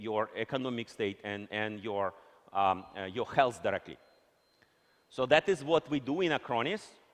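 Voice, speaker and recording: Speaking with a Russian accent, the voice keeps a moderate pace and ordinary pitch variation. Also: man. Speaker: company executive. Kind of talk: conference keynote.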